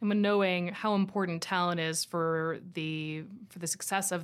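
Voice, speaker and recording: A woman with an ordinary speaking voice, fairly low in pitch and with ordinary pitch variation, is heard in a very clean recording with a silent background. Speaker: podcast host. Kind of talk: interview.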